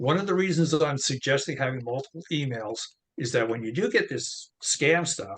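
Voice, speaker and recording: A man talks in a fairly high voice. It is an unremarkable speaking voice. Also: moderate pace. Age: 60s. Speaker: crypto wallet expert. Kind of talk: casual tutorial chat.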